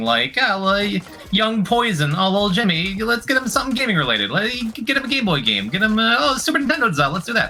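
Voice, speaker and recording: A man with an American accent speaks with music in the background. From upstate New York. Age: 30s. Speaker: streamer. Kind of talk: casual chat.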